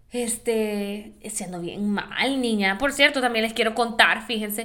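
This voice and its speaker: A woman speaks with a bright, sharp tone. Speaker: podcast host. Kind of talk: casual monologue. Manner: animated.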